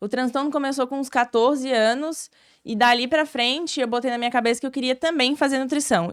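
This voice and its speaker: Her pitch is high and her pace fairly quick. The woman is on a very clean recording with a silent background. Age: 20s. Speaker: nutritionist and marathon runner. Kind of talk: casual chat. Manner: talkative.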